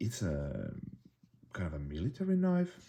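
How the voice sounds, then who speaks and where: A man with a Finnish accent speaks at a fairly slow pace. His tone is dark and mellow and somewhat breathy. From Finland. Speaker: bushcraft YouTuber. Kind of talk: product review. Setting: indoors, tabletop. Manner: halting, many fillers and restarts.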